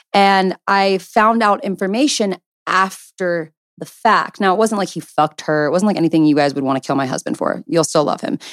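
In a normal speaking voice with a medium pitch, a woman talks at a fairly quick pace with lively intonation, the sound dry and close with no echo. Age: 20s. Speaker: podcast co-host. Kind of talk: personal story.

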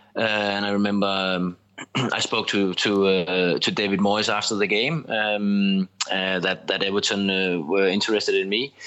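With a Danish accent, a man speaks at a fairly low pitch and with fairly even intonation. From Denmark. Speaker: former footballer and TV pundit. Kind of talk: podcast interview. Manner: halting, many repetitions and fillers.

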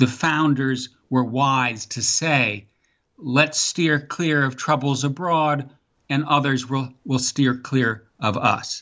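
Here a man with an American accent talks at a very slow pace. His pitch is fairly high and his intonation fairly even. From US Midwest, Wisconsin; teen years in Virginia. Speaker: author and foreign policy scholar. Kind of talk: interview. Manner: halting, frequent fillers and repeats.

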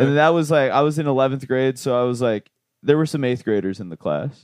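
This man has an unremarkable speaking voice and an American accent. His pitch is medium with ordinary variation, and his pace is moderate. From Virginia (Fairfax). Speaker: comedian, podcast co-host. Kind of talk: casual chat.

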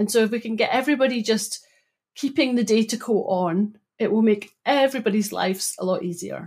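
A woman with a Scottish accent speaks in a somewhat breathy, fairly high voice with ordinary pitch variation on a very clean recording with a silent background. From Scotland, Broughty Ferry (Dundee). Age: 40s. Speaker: data consultant. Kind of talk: casual interview.

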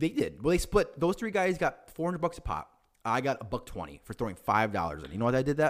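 On a very clean recording with a silent background, a man speaks at a very fast pace. His tone is animated. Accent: Chicago. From Chicago area, US Midwest. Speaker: podcast co-host. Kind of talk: casual chat.

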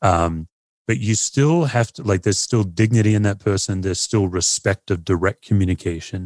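Someone with an Australian accent talks at a moderate pace, the sound dry and close with no echo. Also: man. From Perth, Australia. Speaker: pastor and author. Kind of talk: casual interview chat.

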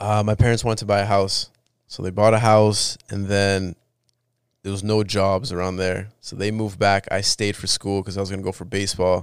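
Speaking at a fairly quick pace, a man uses a fairly low pitch and monotone, flat intonation, with big swings in loudness. The recording is very clean, with a silent background. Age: 20s. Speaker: entertainment company partner. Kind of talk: casual chat.

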